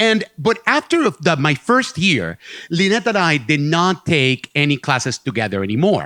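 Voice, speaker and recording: In a Puerto Rican accent, the speaker uses very wide pitch swings, a bright, sharp tone and a moderate pace at very even loudness. The very clean recording has a silent background and a dry, close sound with no echo. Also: man, fairly high pitch for a man. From Puerto Rico. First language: Spanish. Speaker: storyteller. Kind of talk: live storytelling performance. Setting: stage with audience.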